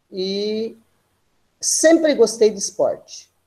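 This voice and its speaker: A woman's dark, mellow voice with very wide pitch swings. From Brazil, small town in São Paulo state interior. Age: 60s. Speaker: physical education teacher. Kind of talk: guest lecture. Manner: casual, with frequent hesitations.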